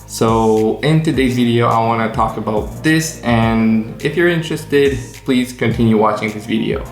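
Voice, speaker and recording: A man with an American accent, medium in pitch, at a moderate pace with ordinary pitch variation and hardly any pauses, music in the background. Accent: American-sounding English. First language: non-native English. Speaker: English learning coach. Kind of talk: casual talk to camera.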